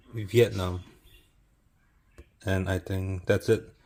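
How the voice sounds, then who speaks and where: In a very clean recording with a silent background, a man speaks slowly in a fairly low, somewhat breathy voice. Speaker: food reviewer. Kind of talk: casual vlog. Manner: shy, introverted.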